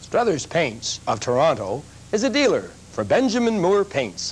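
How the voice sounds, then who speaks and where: Very wide pitch swings from a man talking at a moderate pace. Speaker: presenter. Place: studio.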